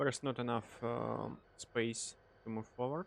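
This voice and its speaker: The sound is dry and close, with no echo. A man with a non-native accent speaks at a very slow pace. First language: not English. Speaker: train simulator gaming youtuber. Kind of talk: gameplay commentary.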